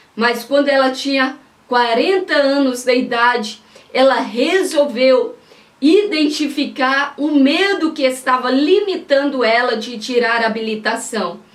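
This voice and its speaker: Against noticeable background noise, a woman with a high pitch speaks at a fairly slow pace. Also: ordinary pitch variation. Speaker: pastor and preacher. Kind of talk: sermon-style preaching to camera.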